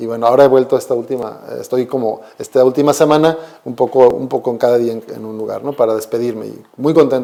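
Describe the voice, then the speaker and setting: Barely pausing, a man of medium pitch races along at a very fast pace with fairly even intonation and big swings in loudness. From Mexico. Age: 40s. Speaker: Jesuit priest. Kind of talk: conversational interview. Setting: school visit.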